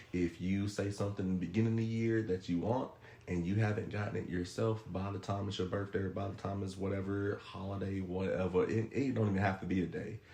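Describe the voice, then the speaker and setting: This man talks at a very fast pace with hardly any pauses, his pitch fairly low. His intonation is monotone and flat, and noticeable background noise sits behind him. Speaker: podcast guest giving relationship advice. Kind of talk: casual podcast chat.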